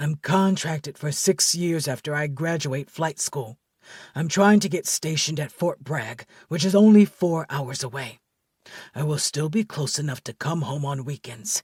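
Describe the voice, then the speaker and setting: In a very clean recording with a silent background and a dry, close sound with no echo, a man does a put-on character voice at a fairly high pitch and a moderate pace. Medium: audio drama. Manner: calm, measured.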